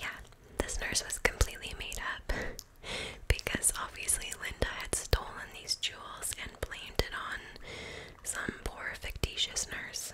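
A soft-spoken woman at a fairly slow pace over loud background noise. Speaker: storyteller. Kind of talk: true crime storytelling. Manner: soft, close-mic ASMR narration. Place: home room. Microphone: studio mic.

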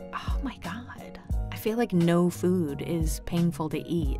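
A woman speaks at a very slow pace in an upbeat tone. Music plays in the background. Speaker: audiobook narrator. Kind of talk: casual interview answer. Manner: chatty, upbeat.

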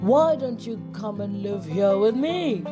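Over loud music in the background, a put-on character voice with a fairly high pitch speaks at a fairly slow pace. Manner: growling.

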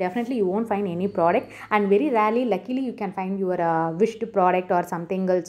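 A woman with a Tamil Indian accent, a dark, mellow tone, and a fairly quick pace. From India, Tamil Nadu. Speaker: YouTuber, shopping tips. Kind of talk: tutorial. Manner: halting, many fillers.

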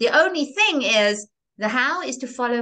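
Against a quiet background, a woman talks at a moderate pace with very wide pitch swings and a bright, sharp tone. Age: 60s. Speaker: reinvention coach; interview guest. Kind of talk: interview. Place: home room. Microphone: video call.

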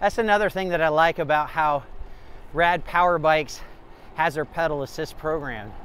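The sound is dry with no echo, with light background noise. A man talks at a moderate pace. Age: 50s. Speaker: e-bike reviewer. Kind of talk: ride-along commentary; product review. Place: bicycle. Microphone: phone near.

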